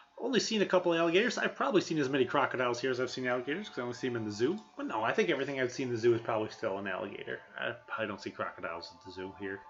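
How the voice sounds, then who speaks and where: Very fast, near-pauseless speech in a northern US accent, with very wide pitch swings and big shifts in loudness over background music. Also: man, medium pitch for a man. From Wisconsin. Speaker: gaming streamer. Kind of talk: casual chat.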